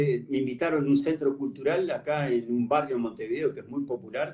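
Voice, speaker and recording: With a Uruguayan accent, a man talks at a fairly high pitch with ordinary variation. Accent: Uruguayan Rioplatense Spanish. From Uruguay, Paysandú. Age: 70s. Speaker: writer. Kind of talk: interview.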